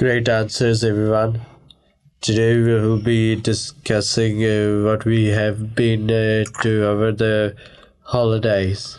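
A man's fairly low, monotone, flat voice at a very slow pace, with very even loudness. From India and Christchurch, New Zealand. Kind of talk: scripted radio presenting. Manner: halting, many hesitations.

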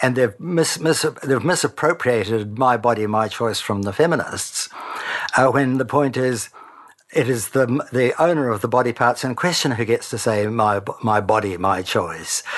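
A man with a New Zealand accent at medium pitch and moderate pace, with ordinary pitch variation. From New Zealand, Christchurch. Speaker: retired broadcaster and intactivist advocate. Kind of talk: interview.

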